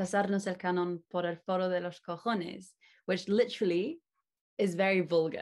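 Medium in pitch, a woman speaks at a moderate pace in an unremarkable speaking voice. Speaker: interviewer. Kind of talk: interview, casual chat.

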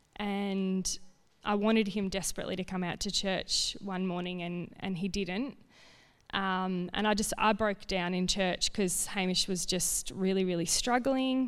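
Recorded very cleanly over a silent background, a woman speaks with an Australian accent. Her pitch is medium, her intonation fairly even and her pace fairly slow. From rural Victoria, Australia. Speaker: family violence counsellor. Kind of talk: testimony.

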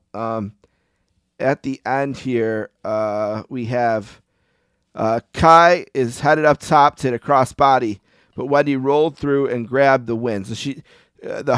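On a very clean recording with a silent background, a man with a plain, everyday voice speaks at a fairly slow pace, medium in pitch, with fairly even intonation. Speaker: podcast host. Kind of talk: casual chat.

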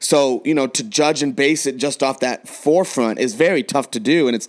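A man with an ordinary speaking voice, fairly high in pitch, with an American accent at a fairly quick pace. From San Diego, California. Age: 20s. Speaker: podcast host and coach. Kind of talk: casual chat. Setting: remote recording at separate locations.

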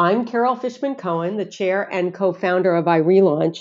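Using an unremarkable speaking voice, a woman talks at a moderate pace in a medium pitch with lively intonation. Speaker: podcast host. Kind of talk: interview questions, friendly.

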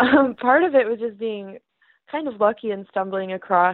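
A woman with an American accent has an unremarkable speaking voice and ordinary pitch variation. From Michigan, US. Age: 20s. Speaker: art student and printmaker. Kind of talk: casual interview.

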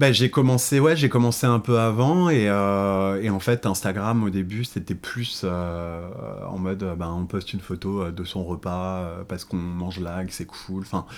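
With hardly any pauses, a man talks at a fairly slow pace in a fairly low pitch, showing ordinary pitch variation. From Paris suburbs, France. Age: 20s. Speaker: influencer and entrepreneur. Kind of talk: casual interview. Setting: at his Paris apartment. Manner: hesitant, many fillers.

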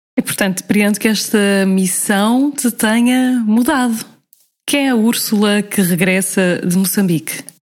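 A woman with an ordinary speaking voice talks at a fairly slow pace and medium pitch, using ordinary pitch variation and very even loudness. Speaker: podcast host. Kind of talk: casual interview.

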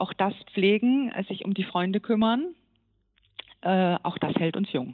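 A woman's medium-pitched voice with lively intonation, at a very slow pace with long, frequent pauses. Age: 50s. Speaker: gynecologist and professor. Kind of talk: interview. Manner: hesitant with many fillers.

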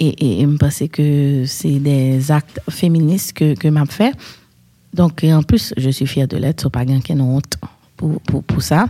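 Noticeable background noise sits under a woman's very deep, low voice. She talks at a very slow pace with ordinary pitch variation. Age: 30s. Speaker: podcast host. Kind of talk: casual chat.

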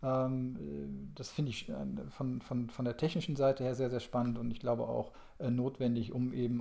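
The voice belongs to a man, dark and mellow in tone. He keeps a moderate pace. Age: 40s. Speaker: energy industry consultant. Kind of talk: casual interview.

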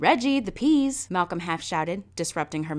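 Lively intonation marks this clip. The speaker uses a natural reading voice.

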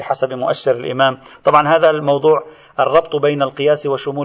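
With a fairly high pitch, a man delivers his words at a fairly quick pace. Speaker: religious scholar teaching a seminary course. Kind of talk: lecture. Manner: animated.

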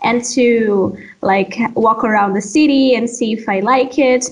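A woman at a high pitch, very slow in pace, with ordinary pitch variation. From Brazil, Amazon region (Pará). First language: Portuguese. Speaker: doctoral student. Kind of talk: interview.

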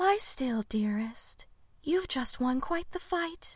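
A woman speaks in a put-on character voice, soft-spoken and breathy, at an extremely high pitch. Her gentle, soothing tone moves very slowly, with very wide pitch swings.

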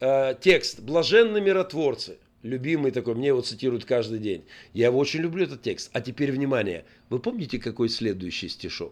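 Against a quiet background, a man speaks in an animated tone at a moderate pace. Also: medium pitch for a man, lively intonation. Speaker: pastor and army chaplain. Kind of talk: radio talk show interview. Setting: radio studio. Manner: animated, forceful.

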